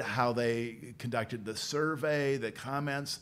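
A man is speaking. He has a Midwestern American accent. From central Illinois (Peoria). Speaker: policy institute director, former journalist. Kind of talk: interview conversation.

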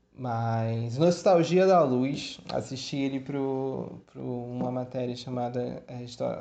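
In a room with audible echo, a man speaks at a very slow pace with hardly any pauses. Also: medium pitch for a man, ordinary pitch variation. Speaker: history student podcaster. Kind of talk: educational monologue. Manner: casual, hesitant with fillers.

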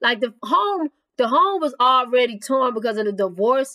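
A woman's fairly high, fairly bright voice, fairly slow, with lively intonation

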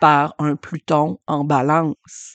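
A woman speaks in a Quebec accent. Her pitch is very deep and low, and the background is quiet. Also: dry, close sound with no echo. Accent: Québécois French. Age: 40s. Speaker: podcast host and human design astrology reader. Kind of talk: solo podcast monologue.

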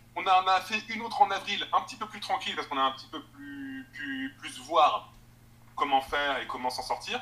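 This man's high voice moves through very wide pitch swings and big swings in loudness at a moderate pace. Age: 20s. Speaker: assistant editor and online book fair organizer. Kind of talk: interview. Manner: halting.

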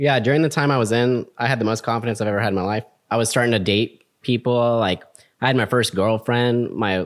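A man with an American accent talks at a fairly quick pace in a plain, everyday voice. His pitch is medium and his intonation fairly even, on a very clean recording with a silent background. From Texas, Houston. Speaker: Air Force veteran, business student. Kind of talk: casual chat.

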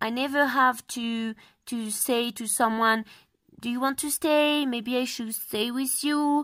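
In a French accent, a woman with a high voice speaks at a fairly slow pace with fairly even intonation, on a very clean recording with a silent background. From France. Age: 20s. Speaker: travel blogger. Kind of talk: interview. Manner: halting.

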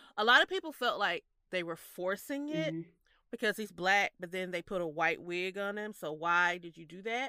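In a very clean recording with a silent background, a woman speaks at medium pitch in a bright, sharp tone, the sound dry and close with no echo. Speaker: podcast co-host. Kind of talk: casual chat. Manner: giggly, laughs often.

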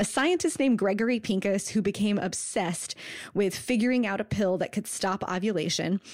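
At a fairly quick pace, a woman speaks in a normal speaking voice, medium in pitch with ordinary pitch variation and very even loudness. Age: 30s. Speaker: podcast co-host. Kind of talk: casual chat about books. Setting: Skype call.

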